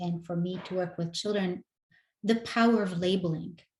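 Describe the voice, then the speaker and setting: A woman with a non-native accent speaks at a moderate pace in a medium pitch, her voice somewhat breathy and her intonation fairly even. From North Africa. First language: not English. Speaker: educator. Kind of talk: interview conversation.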